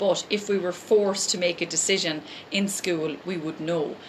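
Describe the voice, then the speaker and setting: Against noticeable background noise, a woman with an Irish accent talks in a fairly low pitch with ordinary pitch variation. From Ireland. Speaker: life coach and essential oils seller. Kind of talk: live motivational talk. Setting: live stream. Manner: fast; animated.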